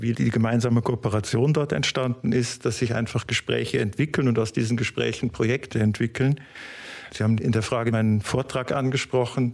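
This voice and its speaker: A man speaks at medium pitch and a moderate pace. His intonation is fairly even and his loudness very even. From Germany, Cologne. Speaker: fibre industry business development manager. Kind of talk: interview. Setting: on campus at a research institute.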